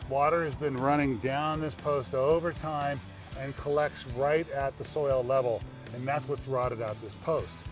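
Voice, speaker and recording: Over music in the background, a fairly high-pitched man talks at a fairly slow pace. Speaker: home improvement expert and TV presenter. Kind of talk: infomercial presentation to camera. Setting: outdoors.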